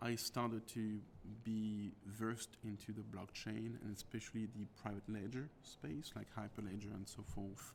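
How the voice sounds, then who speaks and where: A man with a French accent, fairly low in pitch, with fairly even intonation at a moderate pace. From France. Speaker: tech executive. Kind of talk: interview.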